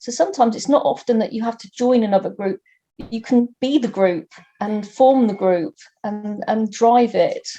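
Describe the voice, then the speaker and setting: A woman's fairly high, somewhat breathy voice with a dark, mellow tone and big swings in loudness. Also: ordinary pitch variation, moderate pace. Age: 60s. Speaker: environmental activist. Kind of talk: personal account interview. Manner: halting, with many repeated words.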